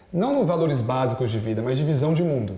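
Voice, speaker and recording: Lively intonation and a fairly quick pace mark this man's speech, heard through noticeable background noise and audible room echo. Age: 30s. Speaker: business executive. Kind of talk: interview. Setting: TV studio. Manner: fast.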